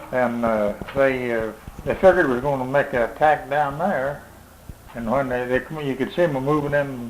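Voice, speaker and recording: Noticeable background noise sits behind a man with a Midwestern American accent. His pitch is fairly high, his pace moderate and his intonation fairly even. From Missouri. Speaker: war veteran. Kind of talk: interview answer.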